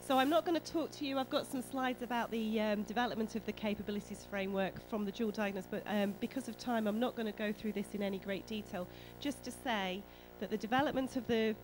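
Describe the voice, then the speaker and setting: A woman speaks with a British accent at a fairly quick pace, music playing behind her. Her pitch is medium with ordinary variation. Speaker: mental health nurse and academic. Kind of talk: conference talk. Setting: conference hall with audience.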